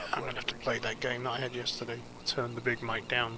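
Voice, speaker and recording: Over noticeable background noise, a man speaks at a fairly quick pace and medium pitch. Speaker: planespotting live streamer. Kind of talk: live stream commentary. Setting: hotel room balcony outdoors. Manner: whispering.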